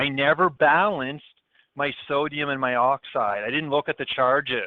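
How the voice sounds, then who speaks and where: In a Canadian accent, a man talks at a fairly high pitch. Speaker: chemistry teacher. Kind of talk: lecture. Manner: fast.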